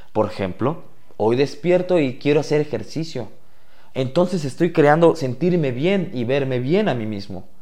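A dark, mellow voice speaks at a fairly slow pace with lively intonation. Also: man, fairly high pitch for a man. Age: 20s. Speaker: podcast host. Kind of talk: personal monologue.

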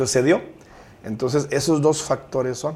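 This man's tone is dark and mellow, with vocal fry running through it. He keeps to a moderate pace. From Guadalupe, Nuevo León, Mexico. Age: 40s. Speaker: mayoral candidate. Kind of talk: interview.

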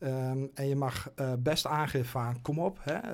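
Fairly high pitch from a man, on a very clean recording against a silent background. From Twente, eastern Netherlands. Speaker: goalkeeping coach. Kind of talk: interview conversation. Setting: studio. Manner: halting, many fillers.

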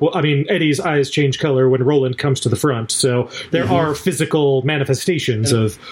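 This is plain reading aloud, with intonation that stays fairly level throughout.

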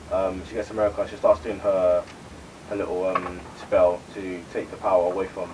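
A man talks at a moderate pace with big swings in loudness over noticeable background noise. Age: 20s. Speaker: podcast co-host, youngest sibling. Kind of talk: casual chat and movie review.

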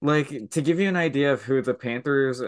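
A man with an ordinary speaking voice talks at a moderate pace and medium pitch. The background is quiet. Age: 20s. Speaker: hockey podcast co-host. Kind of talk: casual chat.

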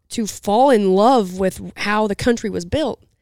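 On a very clean recording with a silent background, dry and close with no echo, a woman in a normal speaking voice with a medium pitch and an American accent talks at a fairly slow pace with ordinary pitch variation. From southern Utah. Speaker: podcast co-host, rancher. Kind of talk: casual chat. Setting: event venue.

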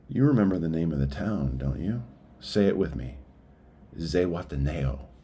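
A very deep, low-pitched man with a dark, mellow tone, somewhat breathy, lively intonation and a moderate pace, with audible room echo. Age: 40s. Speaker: business owner and writer in recovery. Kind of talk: reading aloud a personal essay.

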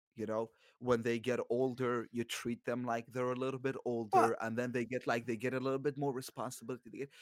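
A man talks at a fairly quick pace with a medium pitch and monotone, flat intonation. The sound is dry and close, with no echo. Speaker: podcast co-host. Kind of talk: casual chat.

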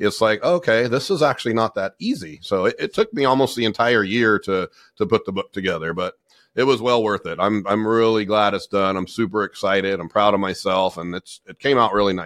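A man's fairly low voice with a Californian accent, fairly quick, with ordinary pitch variation and a dry, close sound free of echo. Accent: Californian American. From US, Southern California. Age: 40s. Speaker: business owner and coach. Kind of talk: interview.

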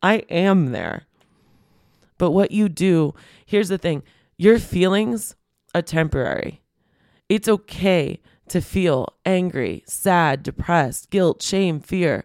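In a very clean recording with a silent background and a dry, close sound with no echo, a woman with a warm tone speaks at a fairly low pitch, very slowly, with ordinary pitch variation and long, frequent pauses. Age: 40s. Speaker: podcast host and business coach. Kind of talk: solo podcast monologue. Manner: warm, conversational.

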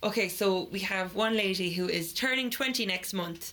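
In an Irish accent, a woman speaks at a moderate pace. Her medium-pitched voice has fairly even intonation. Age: 20s. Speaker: podcast co-host. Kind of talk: casual chat. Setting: garden shed makeshift studio.

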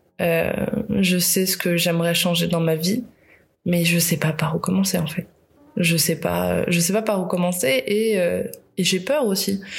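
Her loudness very even, a woman with a fairly low pitch and ordinary pitch variation speaks at a fairly slow pace. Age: 30s. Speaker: podcaster. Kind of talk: personal monologue. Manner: halting.

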